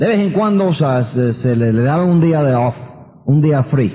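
There is noticeable background noise. A man speaks fairly quickly at a fairly high pitch. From New York (Queens, Bronx). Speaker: motivational speaker, business leader. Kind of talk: motivational talk. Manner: animated.

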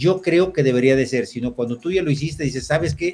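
A man is talking fairly quickly. Music sounds behind him. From Mexico, Jalisco (Mascota area). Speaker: entrepreneur. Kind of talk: interview.

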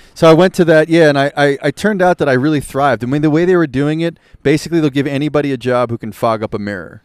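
A man with an American accent talks very fast in a fairly high voice with ordinary pitch variation. The sound is dry and close, with no echo. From US Northeast, Philadelphia. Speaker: musician and entrepreneur. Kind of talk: casual chat. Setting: live recording at a festival.

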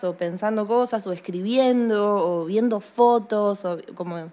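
A woman speaks in a Rioplatense accent with ordinary pitch variation. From Argentina. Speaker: singer-songwriter. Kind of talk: interview. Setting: remote call. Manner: casual, hesitant.

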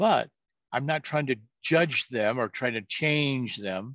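With a quiet background, a man speaks at a medium pitch in a bright, sharp tone and lively intonation. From California. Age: 70s. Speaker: veteran financial coach. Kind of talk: casual chat.

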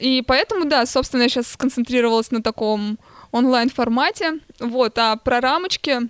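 A woman's high-pitched voice at a moderate pace, with ordinary pitch variation and a dry, close sound free of echo. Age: young. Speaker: artist and museum researcher. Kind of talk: casual chat.

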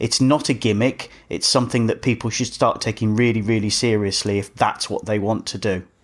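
In a very clean recording with a silent background, an ordinary speaking voice moves at a fairly quick pace with hardly any pauses. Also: man, medium pitch for a man. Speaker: podcast host. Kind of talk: casual chat.

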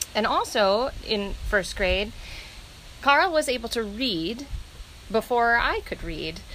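A woman's fairly high, bright, sharp voice with vocal fry and lively intonation, at a very slow pace with long, frequent pauses. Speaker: parent of host. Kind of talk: casual interview.

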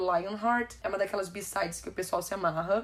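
The woman's tone is animated. She moves at a fairly quick pace with ordinary pitch variation. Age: 20s. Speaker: podcast host. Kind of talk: solo podcast music review.

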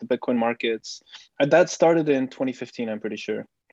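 In a Flemish accent, a man speaks at a moderate pace with lively intonation and a fairly high pitch. The sound is dry and close, with no echo. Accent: Flemish Dutch accent in English. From Belgium, Bruges. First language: Dutch. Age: 30s. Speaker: Bitcoin researcher and writer. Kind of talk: casual interview chat. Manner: halting, many repeated words.

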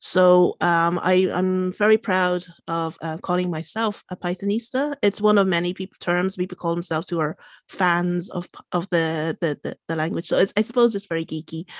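With a Limerick accent, the speaker goes at a moderate pace with fairly even intonation, recorded dry and close with no echo in a very clean, silent setting. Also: woman, medium pitch for a woman. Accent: Irish (Limerick). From Ireland, Limerick (Irish-born Chinese). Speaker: coder and tech events organizer. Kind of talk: interview conversation. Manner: hesitant, many fillers.

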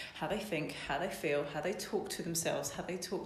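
Fairly even intonation comes through noticeable background noise and audible room echo. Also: woman. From Essex, England. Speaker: business coach. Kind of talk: interview.

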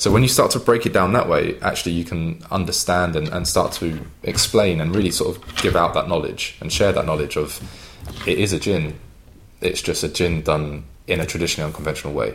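In a London accent, a man talks at a fairly quick pace. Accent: English, London-area. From London, England. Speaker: drinks brand ambassador. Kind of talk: casual interview chat. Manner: conversational, with fillers.

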